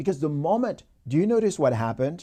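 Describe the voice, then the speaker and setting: In a very clean recording with a silent background, a man with a dark, mellow tone speaks with very wide pitch swings. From Haiti. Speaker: motivational speaker. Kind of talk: motivational talk. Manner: animated.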